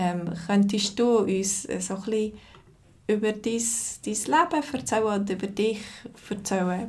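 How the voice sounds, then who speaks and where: A woman with a Zürich accent speaks fairly slowly at a medium pitch, somewhat breathy, her intonation fairly even. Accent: Zürich Swiss German. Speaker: Swiss German teacher. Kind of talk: interviewer questions.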